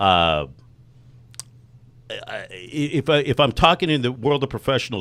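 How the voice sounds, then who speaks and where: On a very clean recording with a silent background, a man with an American accent speaks with vocal fry. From Texas, Grand Prairie. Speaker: online marketer and radio host. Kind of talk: interview. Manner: fast; animated.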